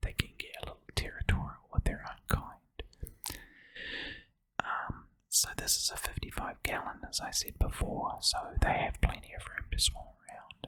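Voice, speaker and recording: Whispering comes through at a moderate pace. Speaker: aquarium hobbyist. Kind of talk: ASMR whisper. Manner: whispered, soft-spoken.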